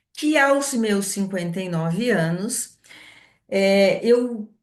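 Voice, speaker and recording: There is audible room echo as a woman talks with ordinary pitch variation. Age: 60s. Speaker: entrepreneur, essential oils distributor. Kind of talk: online presentation.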